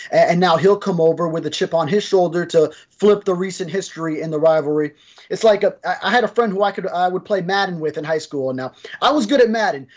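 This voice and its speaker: A man talks at a very fast pace in a high pitch, with ordinary pitch variation. The background is quiet. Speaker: sports reporter co-host. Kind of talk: sports discussion commentary. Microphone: video call.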